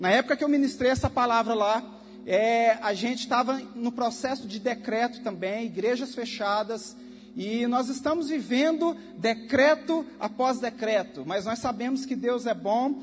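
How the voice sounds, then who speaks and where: A man speaks at a fairly slow pace in an extremely high pitch, with ordinary pitch variation and noticeable background noise. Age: 30s. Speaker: preacher and youth leader. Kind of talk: sermon. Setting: church service.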